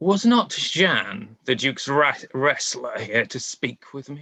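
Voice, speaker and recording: A man's put-on character voice at a fairly slow pace, with very wide pitch swings. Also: fairly high pitch for a man, big swings in loudness. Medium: stage play. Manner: cold, haughty.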